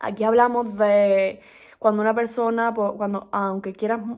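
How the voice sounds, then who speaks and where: A woman's fairly high voice with fairly even intonation, in a very clean recording with a silent background. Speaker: book podcast host. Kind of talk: casual monologue book review. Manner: fast; hesitant, many fillers.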